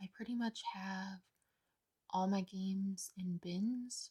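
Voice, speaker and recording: A soft-spoken woman talks at a very slow pace in a medium pitch with fairly even intonation. Her relaxed tone is dark, mellow and somewhat breathy. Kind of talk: ASMR soft talking / rambling to camera. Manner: soft-spoken, quiet, relaxed.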